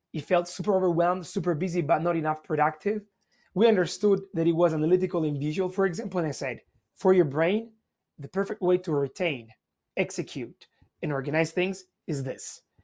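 Against a quiet background, a man with an Italian accent talks fairly quickly in a high pitch, with ordinary pitch variation. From Italy. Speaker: learning techniques instructor. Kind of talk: interview.

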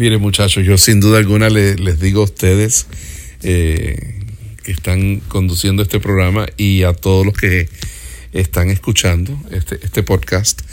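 Against noticeable background noise, a man with a very deep, low pitch speaks at a fairly slow pace, with ordinary pitch variation and very even loudness. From Puerto Rico and Miami. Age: 50s. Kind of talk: interview conversation. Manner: halting, repeats words.

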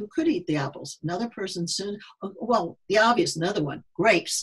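A woman with an American accent speaks with lively intonation. Her voice is somewhat breathy and medium in pitch. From US Midwest. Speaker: neuropsychologist and sports psychologist. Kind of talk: casual interview. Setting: remote call.

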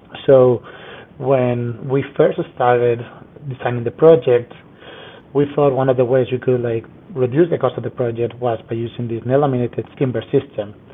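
A man's medium-pitched voice with fairly even intonation comes through noticeable background noise. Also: moderate pace. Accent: Spanish. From Spain, Madrid. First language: Spanish. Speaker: structural engineer. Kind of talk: interview.

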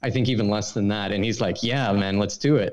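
A man with a Swedish accent speaks in a fairly low voice. His pace is fairly quick, with ordinary pitch variation. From Sweden. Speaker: brand consultant. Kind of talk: casual interview chat.

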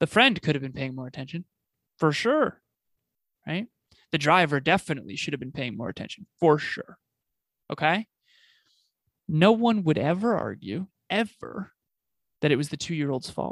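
A man with a fairly high-pitched voice and some vocal fry speaks at a moderate pace in an animated tone, with lively intonation, big swings in loudness and long, frequent pauses, in a very clean, dry, close recording with no echo and a silent background. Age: 30s. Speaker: business coach and podcaster. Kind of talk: interview conversation.

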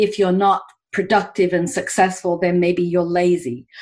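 An English accent at a moderate pace. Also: woman. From England. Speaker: executive coach. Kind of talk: interview conversation.

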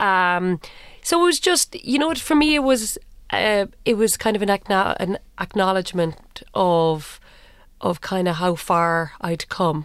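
On a very clean recording with a silent background, a woman with a Cork accent speaks at a fairly slow pace in a medium pitch, with lively intonation and very even loudness. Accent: Cork Irish. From Ireland, Cork. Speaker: television producer. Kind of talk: interview conversation. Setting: studio.

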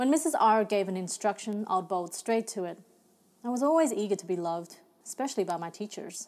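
Recorded very cleanly against a silent background, a woman speaks at medium pitch with an Australian accent. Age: young. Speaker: novelist. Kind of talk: reading aloud.

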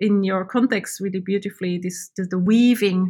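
On a very clean recording with a silent background, a woman speaks at medium pitch in a monotone, flat way, somewhat breathy. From Switzerland. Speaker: artist. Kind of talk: interview. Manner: halting.

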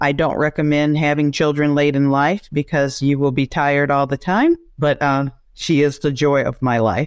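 A woman speaks with an American accent at a very deep, low pitch. The background is quiet. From US South, Georgia. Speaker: business executive. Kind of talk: casual interview conversation. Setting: remote call.

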